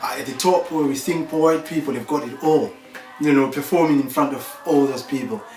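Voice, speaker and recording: Over background music, a man with a fairly high pitch and ordinary pitch variation speaks with audible room echo. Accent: Zimbabwean. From Zimbabwe, Bulawayo. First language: Ndebele. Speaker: percussionist and performer. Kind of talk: interview. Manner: hesitant, many fillers.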